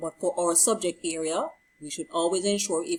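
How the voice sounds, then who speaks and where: With an ordinary speaking voice, a woman of medium pitch talks at a moderate pace with lively intonation. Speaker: teacher. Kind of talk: tutorial.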